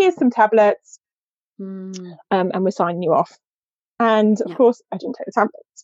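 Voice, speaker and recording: Recorded with a dry, close sound and no echo, a woman with an ordinary speaking voice talks at a moderate pace and medium pitch, with ordinary pitch variation and big swings in loudness. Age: 40s. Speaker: feminine energy coach. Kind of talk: casual chat.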